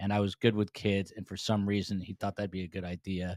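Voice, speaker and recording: A man with an American accent talks at a fairly quick pace in a very deep, low voice with flat, monotone intonation. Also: dry, close sound with no echo, very clean recording, silent background. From US Northeast, New Jersey. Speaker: podcast host and former TV news reporter. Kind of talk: casual interview chat. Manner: many filler words, uh and um.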